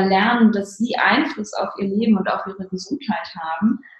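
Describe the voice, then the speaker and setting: This woman's voice sits at a medium pitch with ordinary pitch variation. It is a plain, everyday voice. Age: 30s. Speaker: neurologist and ayurveda practitioner. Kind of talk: interview. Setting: remote call. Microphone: poor audio quality.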